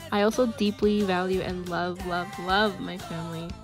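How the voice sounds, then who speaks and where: A woman speaks quietly with music in the background. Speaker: college student. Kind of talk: application video talk to camera.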